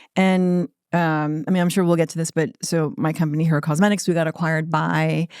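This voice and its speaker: With a plain, everyday voice, a woman talks at a fairly low pitch with fairly even intonation. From United States (Korean American, moved at age three). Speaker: entrepreneur, skincare brand founder. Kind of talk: interview. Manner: casual, with many fillers.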